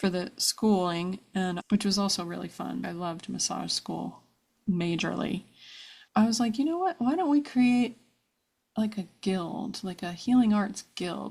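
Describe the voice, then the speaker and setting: With an American accent, the voice is somewhat breathy, moves at a moderate pace with ordinary pitch variation, and comes through on a very clean recording with a silent background. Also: woman. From US, New Jersey (New Brunswick). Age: 50s. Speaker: brand and web designer. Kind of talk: interview, personal life story. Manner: animated.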